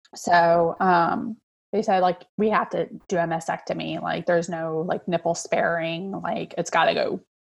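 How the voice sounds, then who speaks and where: A woman with a normal speaking voice, fairly low in pitch, at a moderate pace with fairly even intonation. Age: 40s. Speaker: social worker and mother of a child with cancer. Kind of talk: interview.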